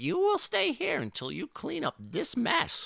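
A man's put-on character voice, extremely high in pitch, with a bright, sharp tone, vocal fry, very wide pitch swings, and a fairly slow pace.

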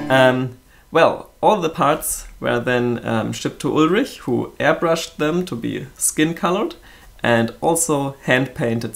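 The pace is fairly slow. A man speaks with ordinary pitch variation. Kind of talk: casual project update vlog. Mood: cheerful, grateful. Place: workshop.

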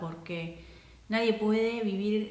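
Audible room echo surrounds a woman speaking in an Argentine accent at a fairly slow pace with ordinary pitch variation. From Argentina. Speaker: counselor. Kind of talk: casual talk to camera. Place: home room.

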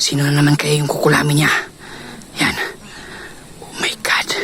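Over noticeable background noise, a man with a fairly high pitch speaks in an excited tone at a moderate pace. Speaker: paranormal vlogger. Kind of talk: whispered live narration while secretly filming. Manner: hushed, breathless, tense whisper, fearful and excited; animated, gasping 'oh my God' reactions.

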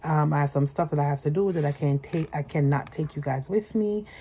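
A woman's very deep, low, somewhat breathy voice at a very fast pace, with ordinary pitch variation. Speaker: vlogger. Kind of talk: casual vlog chat. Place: home room. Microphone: phone near.

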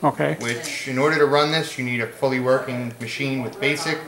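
A man with fairly even intonation over noticeable background noise. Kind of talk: demonstration explanation. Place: home room. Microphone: camera far.

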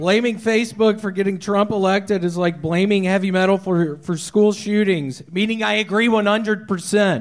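Against a quiet background, a man with a high pitch talks at a moderate pace with fairly even intonation and hardly any pauses. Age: 30s. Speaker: stand-up comedian. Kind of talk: stand-up. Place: stage. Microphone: handheld.

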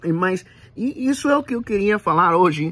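A man is speaking. He has a Puerto Rican accent. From Puerto Rico. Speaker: channel host. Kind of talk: solo video monologue. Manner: halting, many fillers. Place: home room. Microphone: phone near.

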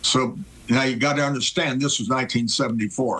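A man talks very slowly, his intonation fairly level throughout. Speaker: remote guest. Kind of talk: interview answer, storytelling. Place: home room.

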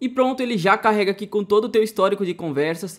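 The voice carries a Brazilian accent in a very clean recording with a silent background. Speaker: tech tutorial youtuber. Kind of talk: tutorial.

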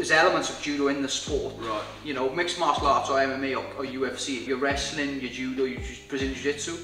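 Audible room echo and faint background music surround a man speaking at a very fast pace with fairly even intonation. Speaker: interviewee. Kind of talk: interview answer. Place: bar.

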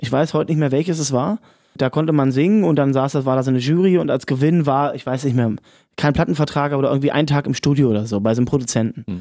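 A man talks at a very fast pace with lively intonation and a dark, mellow tone. The sound is dry with no echo, and the background is quiet. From Brandenburg, Cottbus; Brandenburg. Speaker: pop singer. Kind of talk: casual chat. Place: studio.

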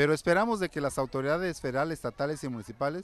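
Recorded with a dry sound and no echo, a man talks at a very fast pace. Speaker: school teacher or representative. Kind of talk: interview answer. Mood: firm, protest demands. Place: street. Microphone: handheld.

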